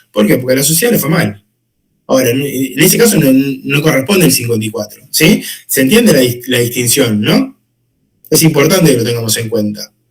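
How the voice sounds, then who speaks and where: This man's voice is somewhat breathy, his intonation lively and his pace fairly quick. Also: medium pitch for a man. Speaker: law teacher. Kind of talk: lecture. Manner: fast.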